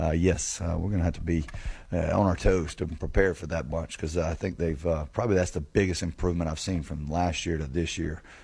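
Somewhat breathy, the voice has a dark, mellow tone and fairly even intonation. The recording is very clean, with a silent background. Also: man, very deep, low pitch for a man, fairly quick pace. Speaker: college football head coach. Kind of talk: pregame radio interview.

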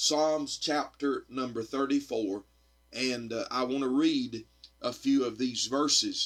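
With a Southern US accent, a man speaks at a very slow pace in a fairly high pitch, his intonation fairly even. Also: very clean recording, silent background. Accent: US South. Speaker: evangelist. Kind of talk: sermon. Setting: radio studio recording.

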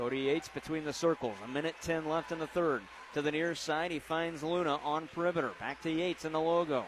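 Noticeable background noise runs beneath a man's very fast speech. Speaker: radio sports announcer. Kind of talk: live play-by-play sports commentary. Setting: radio broadcast from a high school gym. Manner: fast, rapid-fire play-by-play, calling passes and shots as they happen; animated, swelling with excitement on made threes.

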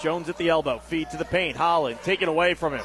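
A man's high-pitched voice comes through with noticeable background noise behind it. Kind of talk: live commentary. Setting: radio broadcast at a high school basketball game.

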